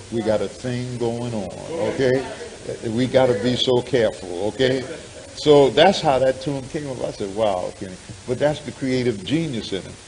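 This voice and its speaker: Audible room echo and noticeable background noise surround a man's voice. He speaks at a moderate pace with ordinary pitch variation. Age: 70s. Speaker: minister. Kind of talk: sermon.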